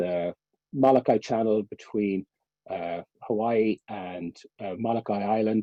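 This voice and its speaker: A man speaks in a Cork accent with a fairly low pitch and fairly even intonation. His pace is fairly slow, with long, frequent pauses. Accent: Irish, Cork. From Ireland. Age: 50s. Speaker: endurance swimmer. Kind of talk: talk. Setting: webinar.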